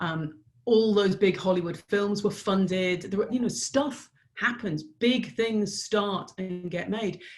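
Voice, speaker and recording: Speaking very slowly, a woman uses an English accent with ordinary pitch variation. Music plays in the background. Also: medium pitch for a woman. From Ireland. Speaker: business strategist. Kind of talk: podcast interview answer.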